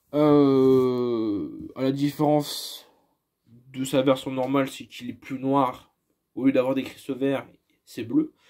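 A man's dark, mellow voice, very slow and monotone with flat intonation, big swings in loudness, and a quiet background. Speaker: YouTuber presenting his toy collection. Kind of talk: casual collection showcase monologue; casual collection showcase commentary. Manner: hesitant, many fillers. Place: home room. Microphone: phone near.

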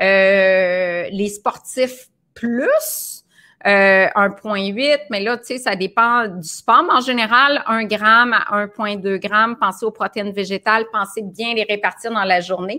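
In a Quebec accent, a woman speaks very slowly with a fairly high pitch and a bright, sharp tone against a quiet background. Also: ordinary pitch variation. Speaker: nutritionist hosting a live video. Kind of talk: casual live stream chat. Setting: live video broadcast. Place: home room.

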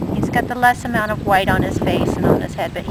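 The sound is dry, with no echo. Loud background noise runs throughout. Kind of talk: casual sales description. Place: garden. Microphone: phone near.

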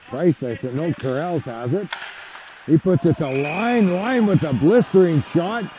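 Noticeable background noise runs under a man speaking at a fairly slow pace. His pitch is high, and his intonation is lively. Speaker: hockey play-by-play commentator. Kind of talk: live ice hockey play-by-play commentary. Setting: arena, calling game from the rink.

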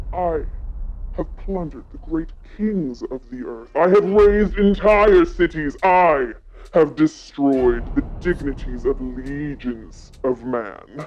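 A put-on character voice sits at a middle pitch and sounds menacing. It moves at a fairly slow pace. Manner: mocking, then menacing and grandiose.

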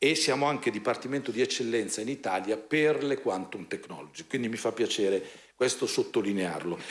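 A man talks at a fairly quick pace with hardly any pauses. His pitch varies in an ordinary way. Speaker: university rector. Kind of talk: speech. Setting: stage with audience. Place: hall. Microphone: podium.

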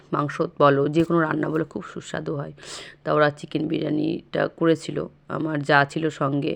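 This woman's voice is very deep and low, with vocal fry. Her intonation is monotone and flat. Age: 30s. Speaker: vlogger. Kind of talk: vlog narration. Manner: halting.

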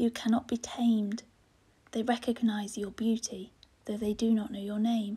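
A somewhat breathy woman with a fairly high pitch, a dark, mellow, soothing tone and a fairly slow pace. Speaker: poet. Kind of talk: poetry reading.

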